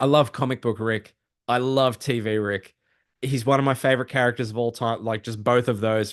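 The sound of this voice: In a quiet background, an unforced reading voice moves with fairly even intonation.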